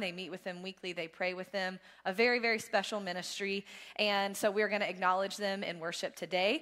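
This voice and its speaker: Woman's medium-pitched voice, monotone and flat, at a fairly quick pace over a quiet background. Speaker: church staff giving announcements. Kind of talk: church announcements. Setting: church service. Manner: fast. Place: church. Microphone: headset.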